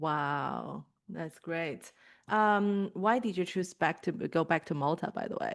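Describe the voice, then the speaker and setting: A woman with a non-native accent speaks very slowly at a fairly low pitch, with vocal fry and ordinary pitch variation, over a quiet background. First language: not English. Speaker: podcast host, edtech co-founder. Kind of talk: interview.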